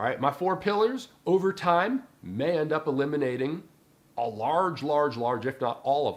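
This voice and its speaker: With an ordinary speaking voice, a man talks at a moderate pace, his fairly high pitch moving in lively intonation. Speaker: personal development coach. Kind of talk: casual talk to camera.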